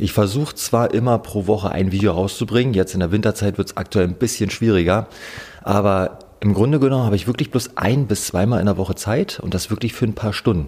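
A man talks very fast, his fairly low voice showing ordinary pitch variation. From eastern Germany, Oder-Spree region (Brandenburg). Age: 30s. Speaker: fishing YouTuber. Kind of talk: casual interview chat.

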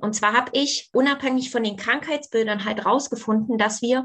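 A woman with an ordinary speaking voice talks at a fairly quick pace with a fairly high pitch and fairly even intonation. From East Germany. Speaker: former aerobics champion and fitness coach. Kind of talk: interview.

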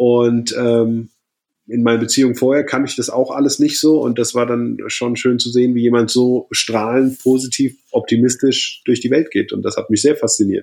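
This man's voice sits at a medium pitch and moves along at a moderate speed. The intonation stays monotone and flat throughout. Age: 30s. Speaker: triathlete and keynote speaker. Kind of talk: casual chat.

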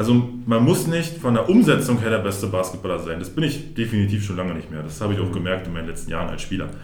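Over music in the background and audible room echo, a man with a fairly low pitch talks at a very fast pace with lively intonation. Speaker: basketball referee. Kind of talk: casual interview.

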